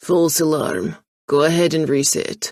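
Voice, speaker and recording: A gruff, put-on character voice talks at a moderate pace. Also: man. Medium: read story. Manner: curt.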